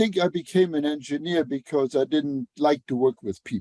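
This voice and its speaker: A man speaks with a Luxembourgish accent and a dark, mellow tone. The sound is dry and close, with no echo. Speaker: engineer and author. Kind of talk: podcast interview. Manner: halting, many fillers.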